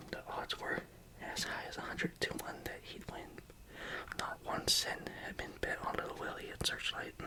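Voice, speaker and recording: Someone whispers at a moderate pace with long, frequent pauses. Background noise is noticeable. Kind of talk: whispered ASMR book reading. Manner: whispered, soft, calming.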